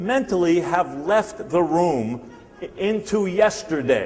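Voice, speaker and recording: Against noticeable background noise, a man speaks at a high pitch with lively intonation. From New Jersey. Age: 60s. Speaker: sales speaker. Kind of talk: motivational seminar talk. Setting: stage with audience. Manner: animated.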